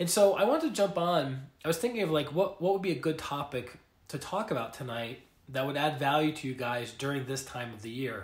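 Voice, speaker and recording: A man's somewhat breathy, fairly high-pitched voice at a fairly quick pace. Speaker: life coach and energy healer. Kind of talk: casual livestream talk. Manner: hesitant, filler words.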